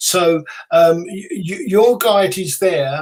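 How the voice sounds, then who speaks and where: A man speaks in a British accent. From UK. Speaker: psychic medium, author, radio host. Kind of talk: interview answer.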